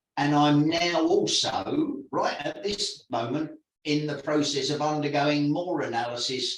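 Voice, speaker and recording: In a room with audible echo, a man with a fairly high pitch speaks at a moderate pace in a somewhat breathy voice. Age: 60s. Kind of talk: reading aloud own written interview answers. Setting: video call. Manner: halting, with fillers and repetitions.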